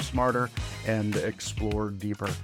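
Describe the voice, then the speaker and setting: A man speaks at a moderate pace, with music in the background. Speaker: podcast host. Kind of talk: podcast intro.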